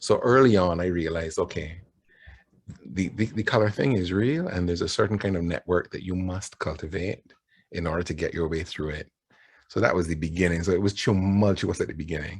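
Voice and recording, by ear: A man's low voice with a slightly husky edge, fairly quick, with a Barbadian accent. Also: ordinary pitch variation.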